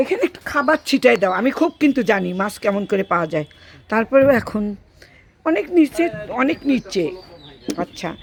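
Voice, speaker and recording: This woman's fairly high voice makes very wide pitch swings. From Bangladesh, Gaibandha. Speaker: vlogger. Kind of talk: casual vlog chat. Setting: outdoors by a pond. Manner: animated.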